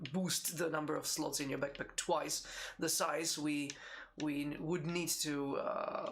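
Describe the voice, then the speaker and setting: In a room with audible echo, a man with a Czech accent speaks at a moderate pace, his pitch fairly high and his intonation monotone and flat. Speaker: game designer. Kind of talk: live Q&A stream. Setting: live stream. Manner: halting, many repetitions.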